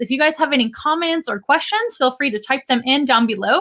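Talking at a fairly quick pace, a woman shows ordinary pitch variation. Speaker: live stream host. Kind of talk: casual live stream chat. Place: studio.

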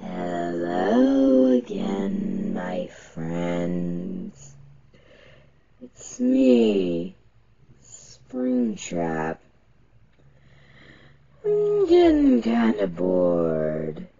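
In a low-pitched, put-on character voice, the speaker goes at a very slow pace with long, frequent pauses. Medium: role play. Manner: menacing, taunting.

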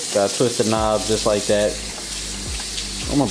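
A man talking at a fairly quick pace over background music. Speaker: vlogger filming his partner. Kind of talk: casual vlog chat. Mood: playful teasing. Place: kitchen. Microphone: phone near.

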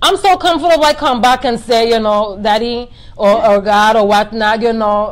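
At a moderate pace, a woman with a fairly high pitch speaks with lively intonation and very even loudness. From US Virgin Islands, St. Croix; US Virgin Islands. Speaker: boutique owner, entrepreneur; interview guest. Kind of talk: personal testimony in live interview. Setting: live video stream. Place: home room. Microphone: phone near.

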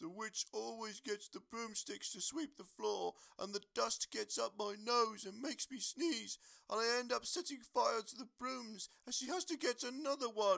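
A fairly high-pitched, put-on character voice at a moderate pace

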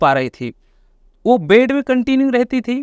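Over a quiet background, a man with an extremely high pitch speaks in a dry sound with no echo. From Chhattisgarh, India (Raipur area); Chhattisgarh, India. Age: 20s. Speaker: network marketing leader; podcast guest. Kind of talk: interview testimony. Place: studio. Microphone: lapel.

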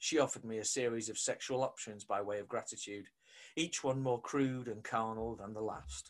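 This is plain reading aloud. Nothing more is given.

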